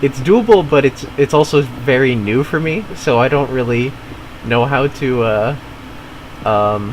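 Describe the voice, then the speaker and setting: With noticeable background noise, a man talks at a fairly slow pace and medium pitch, his pitch varying in an ordinary way. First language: not English (family language). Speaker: gaming streamer. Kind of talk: casual chat. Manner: halting, many fillers and repeats.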